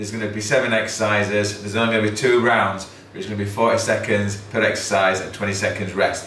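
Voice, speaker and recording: Over light background noise and audible room echo, a man with a fairly low pitch talks at a very fast pace. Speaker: fitness instructor. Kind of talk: workout instruction. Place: gym.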